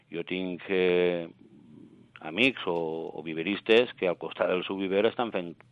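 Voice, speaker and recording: Very slowly, with long, frequent pauses, a man speaks at a very deep, low pitch and fairly even intonation. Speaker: plant nursery association member. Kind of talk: interview. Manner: halting.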